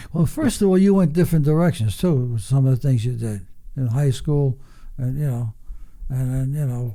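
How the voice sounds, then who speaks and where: A man speaks at a moderate pace in a medium-pitched, somewhat breathy voice with a dark, mellow tone and ordinary pitch variation. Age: 80s+. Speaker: retired racing driver. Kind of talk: casual chat. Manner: blunt.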